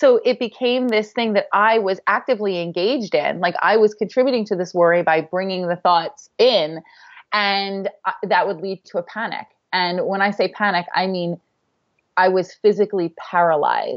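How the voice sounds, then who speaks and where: A woman talks at a moderate pace with medium pitch and ordinary pitch variation. She has an unremarkable speaking voice. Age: 30s. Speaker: author and blogger. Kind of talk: casual interview.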